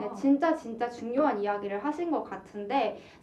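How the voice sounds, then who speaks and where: Noticeable background noise sits behind a woman. She talks at a moderate pace with lively intonation. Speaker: university broadcasting announcer. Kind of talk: radio talk show.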